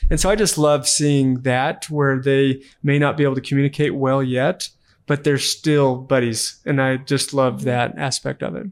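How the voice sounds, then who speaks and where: A man with a normal speaking voice, fairly high in pitch, at a moderate pace. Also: fairly even intonation. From Texas, Amarillo. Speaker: real estate investor. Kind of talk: interview.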